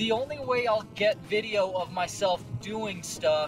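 A man is speaking with clear music in the background. The sound is dry, with no echo. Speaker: fitness vlogger. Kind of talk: casual vlog chat. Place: car. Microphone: phone near.

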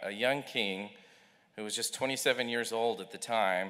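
A man with a bright, sharp tone and ordinary pitch variation over a quiet background. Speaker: speaker. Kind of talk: chapel talk. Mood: earnest, measured. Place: hall. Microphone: podium.

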